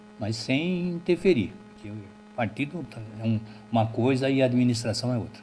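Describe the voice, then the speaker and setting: The speech moves at a moderate pace with lively intonation and long, frequent pauses. Noticeable background noise is present. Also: man, medium pitch for a man. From Alagoas, Brazilian Northeast. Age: 60s. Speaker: local party chairman. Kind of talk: interview.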